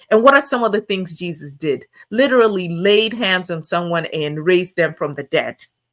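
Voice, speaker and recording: Music plays in the background as a woman talks at a moderate pace. Her medium pitch carries lively intonation. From Nigeria. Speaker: guest Bible teacher. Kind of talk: sermon. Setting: live stream.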